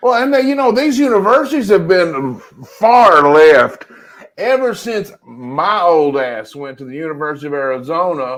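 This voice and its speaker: With a Southern US accent and high pitch, a man speaks at a moderate pace, with very wide pitch swings and big swings in loudness. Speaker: podcast co-host. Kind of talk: casual chat.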